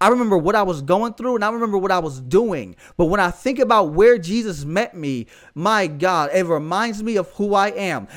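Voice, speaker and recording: A man talks at a fairly quick pace with lively intonation. His tone is animated. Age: 30s. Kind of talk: preaching-style solo podcast. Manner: animated, exhortative.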